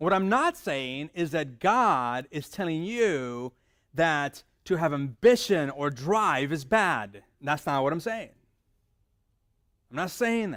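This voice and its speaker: Very wide pitch swings mark a man's speech at a very slow pace. The recording is very clean, with a silent background. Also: fairly high pitch for a man. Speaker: pastor. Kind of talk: sermon. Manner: conversational.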